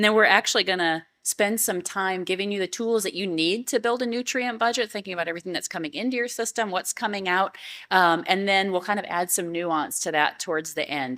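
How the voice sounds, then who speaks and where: A woman's bright, sharp voice at a medium pitch, with ordinary pitch variation, a fairly quick pace and hardly any pauses, on a very clean recording with a silent background. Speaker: university agriculture specialist. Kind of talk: conference workshop presentation. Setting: conference room with audience. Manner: fast.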